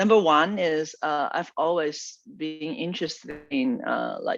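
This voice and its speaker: A high-pitched male voice with a Chinese accent over music in the background. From China. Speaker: product manager. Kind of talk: interview.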